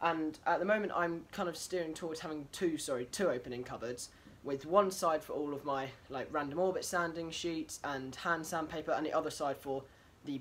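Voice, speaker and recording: Light background noise sits behind a man's voice. He speaks at a moderate pace with ordinary pitch variation. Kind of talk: casual vlog chat. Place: workshop. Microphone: phone near.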